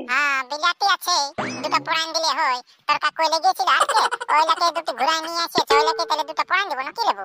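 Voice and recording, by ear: In a squeaky, cartoonish character voice, a woman chatters at a very fast pace and an extremely high pitch. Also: ordinary pitch variation.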